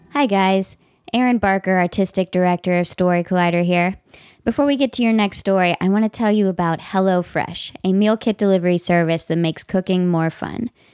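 This woman has a plain, everyday voice of medium pitch, with ordinary pitch variation and very even loudness at a fairly quick pace. The recording is very clean, dry and close, with no echo and a silent background. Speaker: podcast host. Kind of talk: scripted narration.

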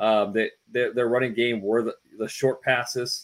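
A man at medium pitch and moderate pace. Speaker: sports journalist. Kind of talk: casual chat. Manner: halting, filler-heavy.

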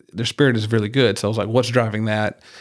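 A man with an American accent talks at a fairly low pitch with vocal fry and ordinary pitch variation. The recording is very clean, with a silent background. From rural Georgia, US South. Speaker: podcast host. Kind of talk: interview. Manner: halting, many fillers.

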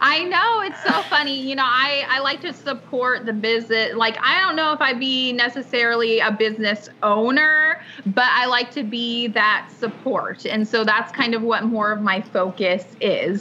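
With noticeable background noise behind her, a woman speaks at a moderate pace in a high pitch, with hardly any pauses. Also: ordinary pitch variation. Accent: American. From Washington State, US. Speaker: chamber of commerce executive director. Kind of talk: casual interview.

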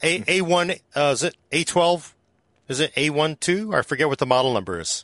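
A man with a plain, everyday voice, fairly high pitch, ordinary pitch variation and a fairly quick pace, in a dry, close sound with no echo. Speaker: tech podcast host. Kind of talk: casual chat.

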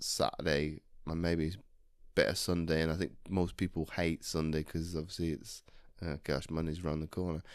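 In a very clean recording over a silent background, a man speaks with a very deep, low pitch. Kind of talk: casual chat. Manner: halting, many restarts.

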